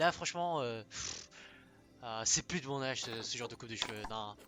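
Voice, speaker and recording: A man with a medium pitch speaks at a moderate pace, with ordinary pitch variation and long, frequent pauses. His loudness swings widely, and music plays in the background. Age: 20s. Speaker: gaming streamer. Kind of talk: gameplay stream commentary. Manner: casual, hesitant with many fillers.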